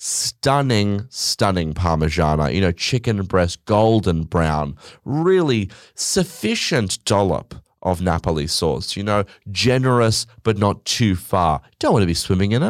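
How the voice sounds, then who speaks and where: With an Australian accent, a man speaks fairly slowly in a fairly low pitch with lively intonation, on a very clean recording with a silent background. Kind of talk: casual chat. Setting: studio. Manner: casual, swearing, rambling.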